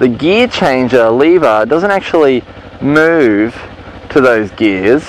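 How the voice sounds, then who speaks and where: A medium-pitched male voice over noticeable background noise. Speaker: motorcycle riding instructor. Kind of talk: tutorial. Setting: riding a motorcycle in a car park.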